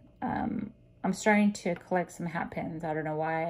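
The speaker is a woman. Ordinary variation shows in her pitch. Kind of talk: casual haul vlog chat. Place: home room. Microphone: phone near.

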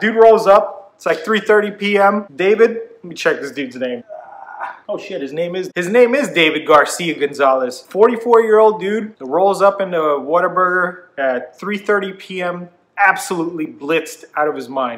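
A man speaks at a moderate pace. His intonation is lively. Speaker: vlogger. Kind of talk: casual vlog storytelling. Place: home room.

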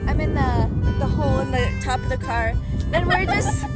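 Clear music plays in the background. The sound is dry, with no echo. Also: woman. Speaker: travel vlogger. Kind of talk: casual vlog chat. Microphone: phone near.

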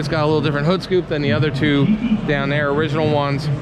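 A man speaks at a very fast pace. Loud background noise runs beneath his voice. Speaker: car vlogger. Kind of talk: casual vlog commentary. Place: hall. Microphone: phone near.

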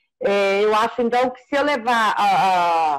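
Her intonation is lively as the woman speaks. The background is quiet. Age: 40s. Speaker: procurement analyst. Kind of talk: casual consultation. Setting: video call. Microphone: video call.

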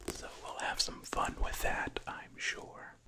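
A soft-spoken man whispers at a very slow pace. Noticeable background noise sits behind him. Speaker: ASMR creator. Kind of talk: soft-spoken ASMR chat. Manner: soft close-mic ASMR whisper. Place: home room. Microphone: studio mic.

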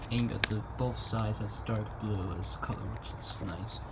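A man speaking very slowly against loud background noise. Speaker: toy reviewer. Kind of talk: casual review commentary. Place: home room. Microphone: phone near.

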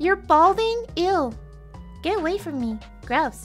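A woman puts on a character voice at an extremely high pitch, speaking at a fairly slow pace. Clear music plays in the background. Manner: gangsta, mocking.

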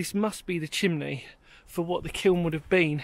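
A high-pitched male voice with a dry sound and no echo. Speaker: urban explorer vlogger. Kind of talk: casual vlog chat. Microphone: phone near.

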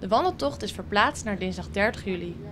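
Noticeable background noise under a woman's fairly quick pace of speech. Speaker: local news reporter. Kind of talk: news reading.

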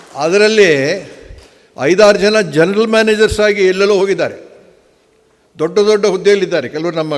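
His pitch rises and falls in an ordinary way. The voice belongs to a man. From Karnataka, Hassan district (Arkalgud). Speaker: hotel executive. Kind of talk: conference speech. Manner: halting.

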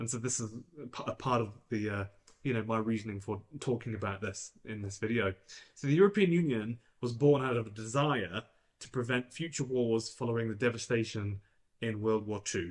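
A somewhat breathy man at a moderate pace, with ordinary pitch variation and a quiet background. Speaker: EV channel host. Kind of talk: explainer commentary to camera. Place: studio.

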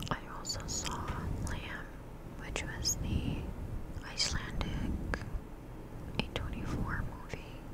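A woman's very slow speech, dry with no echo, over loud background noise. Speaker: ASMR creator. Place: home room. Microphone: studio mic.

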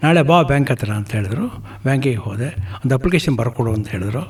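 Amid noticeable background noise, a man of medium pitch speaks with lively intonation. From Karnataka, Gundlupet (Chamarajanagar). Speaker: retired banker and social worker. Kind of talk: radio interview.

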